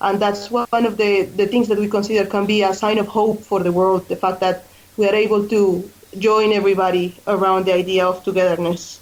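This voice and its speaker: A woman with a Colombian accent, medium pitch, flat monotone intonation, very even loudness and a fairly quick pace. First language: Spanish. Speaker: charity fundraising coordinator. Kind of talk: radio interview. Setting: radio studio.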